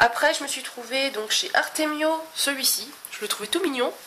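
A high-pitched woman speaks over noticeable background noise. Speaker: scrapbooking vlogger. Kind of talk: casual chat. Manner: chatty, hesitant.

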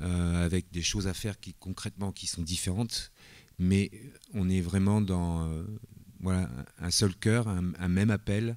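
At a fairly slow pace with long, frequent pauses, a man speaks in a very deep, low pitch with fairly even intonation against a quiet background. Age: 50s. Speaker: church elder in training. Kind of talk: testimony. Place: church. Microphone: handheld.

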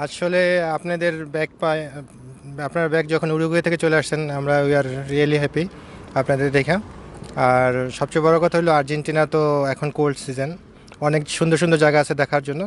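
Light background noise sits under a dry, echo-free recording of a man speaking in a fairly high pitch with monotone, flat intonation. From Bangladesh. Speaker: shop owner; interviewee. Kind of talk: interview. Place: waterside. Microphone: handheld.

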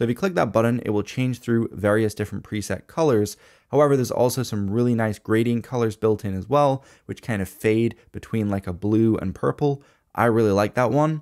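The speech moves at a fairly quick pace with ordinary pitch variation. The background is quiet. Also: man. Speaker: tech reviewer. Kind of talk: product review commentary. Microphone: studio mic.

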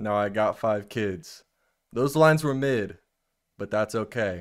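Against a quiet background, a man talks in a bright, sharp tone with ordinary pitch variation. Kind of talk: reading a poem aloud. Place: home room. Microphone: studio mic.

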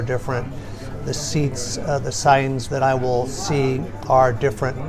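Clear music plays behind a man speaking. His intonation is monotone and flat, and his pace is moderate. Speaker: interview guest. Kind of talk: interview answer. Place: cafe. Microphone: phone near.

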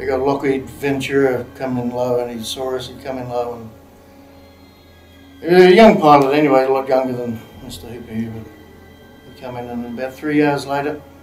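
A man with ordinary pitch variation, faint music in the background and audible room echo. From Australia. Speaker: actor. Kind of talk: dramatic monologue, film scene demo. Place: studio.

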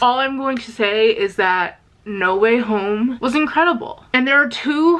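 A woman talks at a high pitch. Her intonation is lively. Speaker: vlogger. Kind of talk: casual vlog chat. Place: home room. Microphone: phone near.

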